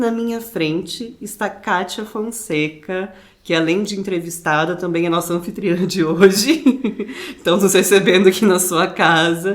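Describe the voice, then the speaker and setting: Her pitch medium and its variation ordinary, a woman talks in a plain, everyday voice. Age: 20s. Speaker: podcast interviewer. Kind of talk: podcast interview introduction. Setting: living room at the guest's home.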